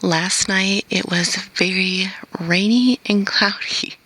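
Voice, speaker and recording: A woman speaks very slowly. Noticeable background noise is present. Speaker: vlogger and skywatcher. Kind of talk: casual vlog. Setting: outdoors.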